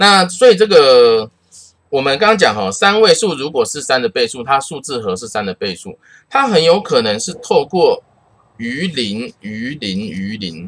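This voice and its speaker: A man with a fairly high voice speaks at a moderate pace with vocal fry. His pitch swings very widely. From Taiwan. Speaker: math teacher. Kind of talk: lecture. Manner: casual, uses many filler particles.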